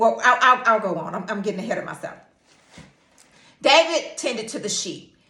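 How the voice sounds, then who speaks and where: Audible room echo trails a woman's bright, sharp tone. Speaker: teacher and Bible devotional speaker. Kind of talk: informal Bible devotional talk. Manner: animated, stuttering when excited.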